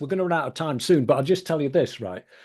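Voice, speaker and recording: A man with an English accent. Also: quiet background. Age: 70s. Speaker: podcast host. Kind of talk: casual interview chat.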